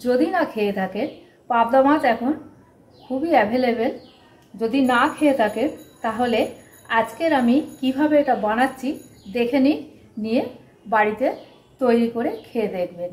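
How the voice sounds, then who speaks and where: With ordinary pitch variation, a woman talks in a high voice. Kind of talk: cooking tutorial. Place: kitchen.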